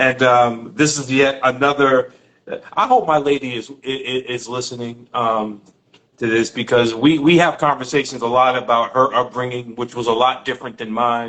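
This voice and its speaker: Spoken at a moderate pace with a New York accent, the voice keeps a fairly even intonation. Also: man, medium pitch for a man. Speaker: podcast host. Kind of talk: casual interview chat.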